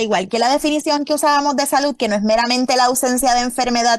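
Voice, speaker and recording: A woman speaks in an animated tone with a high pitch. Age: 50s. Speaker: epidemiologist. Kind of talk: interview.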